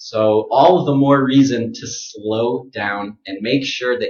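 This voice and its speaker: Here a man speaks with an American accent at medium pitch. His voice is somewhat breathy, with ordinary pitch variation. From United States. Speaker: pronunciation teacher. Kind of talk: tutorial. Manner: slow, exaggerated articulation of sounds.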